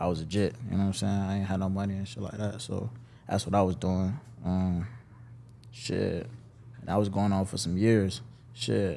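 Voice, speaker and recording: A man's fairly low, dark, mellow voice, marked by long, frequent pauses. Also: ordinary pitch variation, moderate pace. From Jacksonville, Florida (Westside). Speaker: rapper. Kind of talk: interview.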